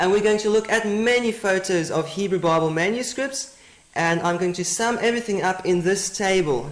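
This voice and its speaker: The speaker has a South African accent. Background noise is noticeable. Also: moderate pace. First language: Afrikaans. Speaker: Bible teacher. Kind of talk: lecture.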